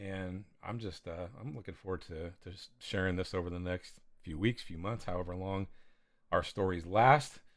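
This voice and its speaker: Mumbling at a moderate pace, a man with an American accent has a very deep, low pitch, ordinary pitch variation and big swings in loudness. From California. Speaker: pastor and podcast co-host. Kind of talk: casual chat.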